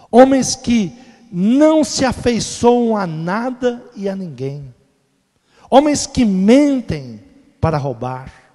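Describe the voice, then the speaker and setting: Very slow, with long, frequent pauses, a man speaks in a high, dark and mellow voice that swings widely in pitch. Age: 60s. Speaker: pastor. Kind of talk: sermon. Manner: emphatic.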